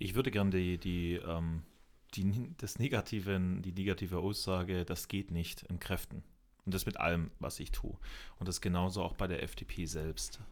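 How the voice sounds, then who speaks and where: In a very clean recording with a silent background, a man with a very deep, low voice speaks at a moderate pace with fairly even intonation. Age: 20s. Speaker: local youth party chair, sales rep. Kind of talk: interview conversation.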